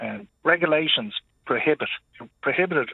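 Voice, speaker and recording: Speaking at a fairly quick pace, a man talks with an Irish accent. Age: 50s. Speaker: international truck driver. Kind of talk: radio phone-in.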